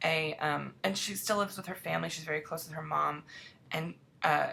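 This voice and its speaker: Her pitch very deep and low, a woman speaks with vocal fry in a bright, sharp tone. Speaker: TV writer answering fan questions. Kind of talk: casual Q&A vlog. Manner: fast.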